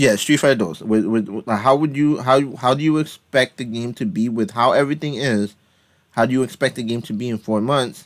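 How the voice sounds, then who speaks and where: This is a man with a plain, everyday voice. His pitch is medium and his pace fairly quick. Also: ordinary pitch variation. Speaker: gaming community podcast host. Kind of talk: casual chat.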